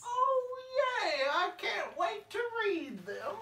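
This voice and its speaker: Over clear background noise, a put-on character voice at an extremely high pitch speaks at a very slow pace. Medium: comedy sketch. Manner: sneaky, hesitant.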